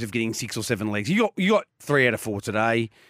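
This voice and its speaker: Very wide pitch swings mark this man's Australian accent, delivered in a bright, sharp tone at a fairly quick pace. The recording is very clean, with a silent background and a dry, close sound with no echo. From Australia, Geelong. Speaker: racing radio co-presenter. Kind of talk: casual chat.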